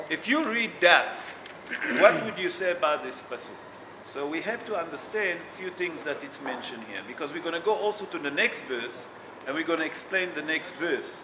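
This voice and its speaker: Loud and high-pitched, a man talks at a moderate pace with lively intonation, amid audible room echo and noticeable background noise. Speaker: rabbi teaching a Torah class. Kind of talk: religious text class.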